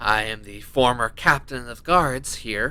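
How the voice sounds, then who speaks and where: Putting on a raspy character voice, a man talks at medium pitch and a fairly slow pace with ordinary pitch variation. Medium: actual play.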